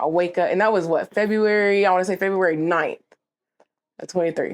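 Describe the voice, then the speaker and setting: Animated in tone, a woman talks at a fairly quick pace and a medium pitch. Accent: American. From Oklahoma, Shawnee. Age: 20s. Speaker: rapper. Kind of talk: casual interview storytelling. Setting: interview recorded at a dispensary.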